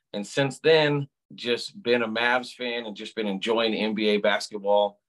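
A man speaks with an American accent. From Southern California. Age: 40s. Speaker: sports fan, season ticket holder. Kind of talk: casual interview. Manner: animated.

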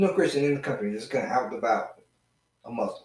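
A man speaks with a Southern US accent. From Georgia, US South. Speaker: podcast guest, friend of host. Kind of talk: casual chat about true crime. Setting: in person, same room as host.

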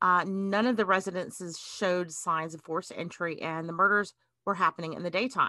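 Her tone bright and sharp, a woman speaks at a moderate pace in a Southern US accent. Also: quiet background. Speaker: podcast host. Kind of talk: casual chat.

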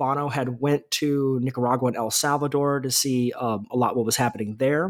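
A man with an unremarkable speaking voice, fairly high in pitch, at a moderate pace with fairly even intonation. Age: 30s. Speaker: author. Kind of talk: interview.

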